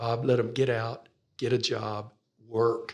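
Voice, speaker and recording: A man speaks with an American accent. His voice is somewhat breathy and medium in pitch. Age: 60s. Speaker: pastor. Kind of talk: interview.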